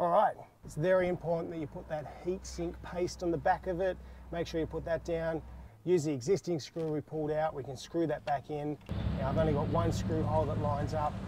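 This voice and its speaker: A man with an Australian accent at a fairly quick pace, dry sound with no echo, and noticeable background noise. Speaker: car DIY video host; DIY vehicle channel host. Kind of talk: tutorial. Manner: casual, relaxed.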